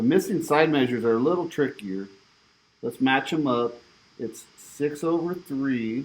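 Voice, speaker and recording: With an ordinary speaking voice, a man talks at a moderate pace with lively intonation. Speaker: math teacher. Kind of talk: homework walkthrough tutorial.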